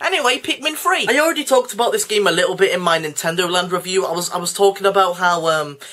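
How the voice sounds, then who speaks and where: Speech comes at a very fast pace with hardly any pauses. Noticeable background noise is present. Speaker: video game reviewer. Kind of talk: casual vlog-style game talk. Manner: hesitant, many ums; improvised, unscripted.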